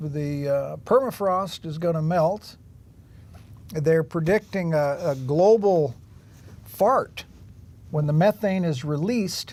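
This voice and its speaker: With a West Coast accent, a man speaks at a fairly high pitch with lively intonation and long, frequent pauses. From Oregon, Willamette Valley. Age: 70s. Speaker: political candidate. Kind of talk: interview.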